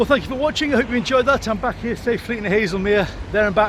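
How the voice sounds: Over clear background noise, a man talks at a fast pace in a high pitch with ordinary pitch variation.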